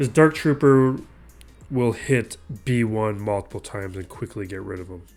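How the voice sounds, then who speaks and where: A man talks with medium pitch and ordinary pitch variation, keeping a moderate pace while music plays behind him. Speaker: gaming channel host. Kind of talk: gameplay commentary. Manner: casual, thinking aloud.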